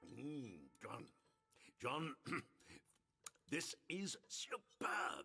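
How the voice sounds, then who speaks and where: A man in a put-on character voice, fairly high in pitch, with faint music in the background. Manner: enthusiastic, appreciative.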